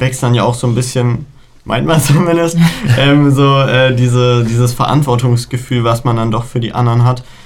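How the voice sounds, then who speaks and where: The speaker has a plain, everyday voice. The pace is moderate, and the intonation fairly even. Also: man. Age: young. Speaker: student council chair. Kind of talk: casual interview.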